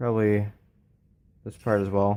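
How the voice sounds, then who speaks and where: A man mumbles at a fairly low pitch in a dark, mellow tone. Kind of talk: casual teardown tutorial talk. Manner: mumbly.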